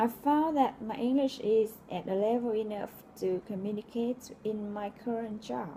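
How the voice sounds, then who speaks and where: A Vietnamese accent, with noticeable background noise. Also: woman, fairly high pitch for a woman, ordinary pitch variation, moderate pace. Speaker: logistics coordinator, English learner. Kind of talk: reading aloud a personal essay.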